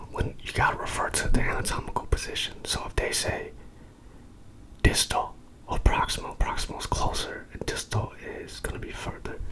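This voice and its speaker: Over noticeable background noise, a man whispers at a fairly quick pace with big swings in loudness. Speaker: ASMR sleep-learning channel host. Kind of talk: educational ASMR lecture for sleep, reading a textbook. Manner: casual, conversational.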